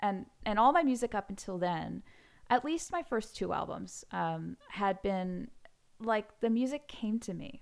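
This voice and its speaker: On a very clean recording with a silent background, a woman with a plain, everyday voice and an American accent speaks fairly slowly, her fairly high pitch carrying lively intonation. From US Pacific Northwest, Seattle. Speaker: pianist and composer. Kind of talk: interview.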